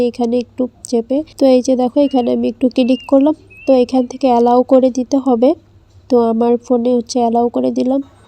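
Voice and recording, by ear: A woman's high, dark, mellow voice at a fast pace, with little pitch movement and a dry, close sound with no echo.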